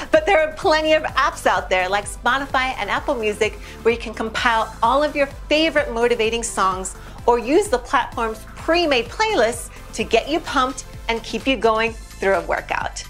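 Faint music plays in the background. A woman speaks at a moderate pace. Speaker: presenter. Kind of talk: scripted tips presentation.

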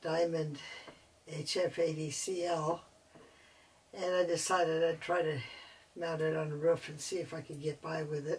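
The delivery is fairly slow and monotone, with flat intonation and long, frequent pauses. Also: woman. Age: 70s. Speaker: amateur radio operator. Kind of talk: casual DIY tutorial talk. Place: home room. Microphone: camera far.

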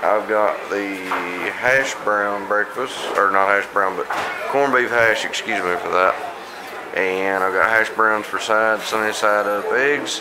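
This is a man with ordinary pitch variation. Background noise can be noticed behind him. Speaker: food vlogger. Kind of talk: casual vlog chat. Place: cafe. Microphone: phone near.

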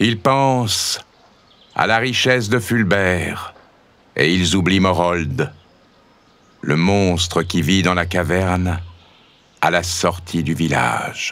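Very deep and low, the man's voice moves at a very slow pace with long, frequent pauses and very even loudness. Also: ordinary pitch variation. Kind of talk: scripted narration, children's story read aloud. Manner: dramatic, suspenseful storytelling; animated, varying voices for characters.

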